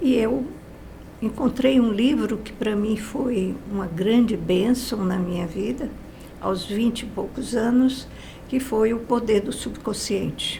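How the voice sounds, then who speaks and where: The speech comes at a very slow pace with ordinary pitch variation, amid noticeable background noise and audible room echo. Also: woman, fairly high pitch for a woman. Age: 80s+. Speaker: guest speaker on positive thinking. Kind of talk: interview testimony.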